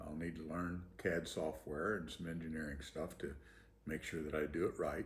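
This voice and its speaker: A somewhat breathy male voice. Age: 70s. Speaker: inventor sharing personal story. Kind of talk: personal testimony, casual monologue. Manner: hesitant, many fillers.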